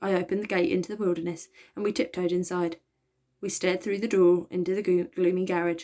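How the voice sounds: Quiet background beneath a natural reading voice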